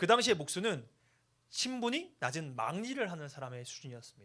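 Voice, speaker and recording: A man's bright, sharp tone swings very widely in pitch, in a very clean recording with a silent background. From Chungcheong, South Korea. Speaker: youth pastor. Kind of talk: sermon. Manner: animated.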